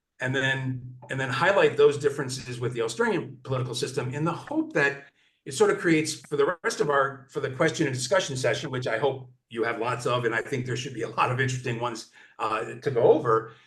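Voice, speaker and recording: A very fast pace with ordinary pitch variation. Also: man, medium pitch for a man. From US Midwest, Detroit, Michigan. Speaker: political scientist, commentator. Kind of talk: informal talk to online seniors group. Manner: halting, many fillers and restarts.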